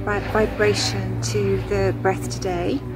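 Noticeable background noise is heard as a woman talks very slowly. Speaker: yoga teacher. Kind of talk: guided yoga / relaxation instruction. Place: garden. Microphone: phone near.

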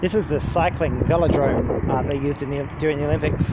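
Over loud background noise, a man speaks at a very fast pace, the sound dry with no echo. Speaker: rider vlogger. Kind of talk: casual vlog commentary. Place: street. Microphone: phone near.

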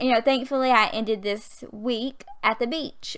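Her pitch shows ordinary variation as a woman talks in a Southern US accent. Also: quiet background. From Southern US (Alabama). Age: 20s. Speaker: gaming youtuber. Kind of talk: casual gaming voiceover, storytime. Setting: home USB mic. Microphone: studio mic.

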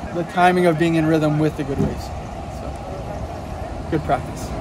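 Flat, monotone intonation comes through in a dry sound with no echo, against noticeable background noise. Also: man, moderate pace. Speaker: professional surfer vlogger. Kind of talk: casual vlog chat. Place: street. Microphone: phone near.

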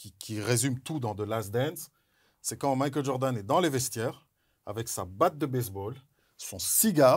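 Over a quiet background, a man speaks in an animated tone at a medium pitch. His voice is somewhat breathy, with ordinary pitch variation. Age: 40s. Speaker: former pro basketball player and NBA analyst; NBA analyst. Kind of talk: casual chat. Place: studio.

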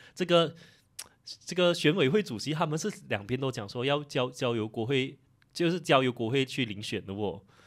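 A man with lively intonation and a moderate pace, set against a quiet background. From Malaysia. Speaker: political commentary YouTuber. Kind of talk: casual chat. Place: studio. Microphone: studio mic.

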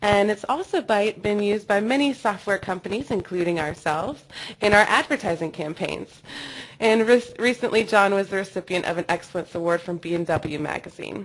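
A woman at a medium pitch and moderate pace, in an unremarkable speaking voice. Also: ordinary pitch variation. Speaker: webinar host. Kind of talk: webinar hosting. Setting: online webinar.

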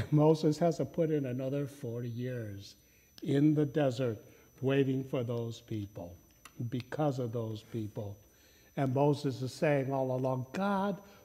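A man's somewhat breathy voice, dark and mellow in tone, at a fairly slow pace with ordinary pitch variation. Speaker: pastor. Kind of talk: sermon. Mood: humorous storytelling. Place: church. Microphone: lapel.

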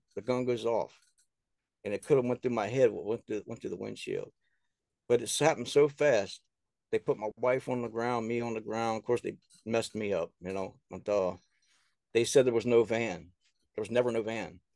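Against a quiet background, a man with an American accent talks at a moderate pace with fairly even intonation and long, frequent pauses, the sound dry with no echo. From US South. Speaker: author and filmmaker. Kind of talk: casual interview. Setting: remote call. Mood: earnest, somewhat aggrieved. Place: home room. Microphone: video call.

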